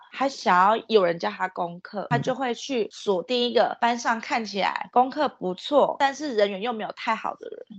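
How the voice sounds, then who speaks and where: A fairly high-pitched female voice at a moderate pace, hardly any pauses, lively intonation and big swings in loudness, over noticeable background noise. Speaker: podcast co-host. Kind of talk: casual chat.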